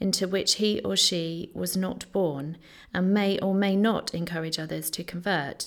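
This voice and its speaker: A woman with a normal speaking voice and fairly even intonation, at a fairly slow pace, in a very clean recording with a silent background. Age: 30s.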